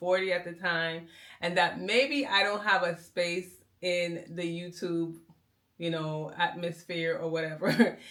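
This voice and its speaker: In a normal speaking voice, a woman talks at a moderate pace with a fairly low pitch. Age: 40s. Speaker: medical biller and content creator. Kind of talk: casual vlog monologue.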